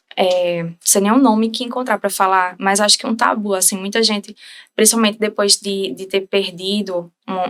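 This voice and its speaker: A woman with a plain, everyday voice speaks at a moderate pace, her pitch medium and her intonation fairly even. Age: 20s. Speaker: bereaved mother sharing her story. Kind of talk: interview testimony.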